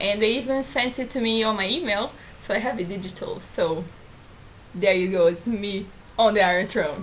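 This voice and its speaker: Lively intonation in a Portuguese accent, with noticeable background noise and audible room echo. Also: woman. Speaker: book vlogger. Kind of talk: casual vlog.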